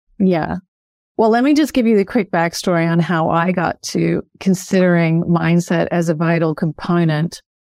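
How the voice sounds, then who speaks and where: In a plain, everyday voice, a woman speaks at a moderate pace with a fairly low pitch, ordinary pitch variation and very even loudness, in a dry, close sound with no echo. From Canada, then Australia from age 16. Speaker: author and mindset coach. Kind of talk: interview. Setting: remote call.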